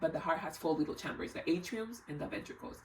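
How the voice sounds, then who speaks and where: A woman's voice over noticeable background noise. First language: not English. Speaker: health vlogger. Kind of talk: casual explainer vlog.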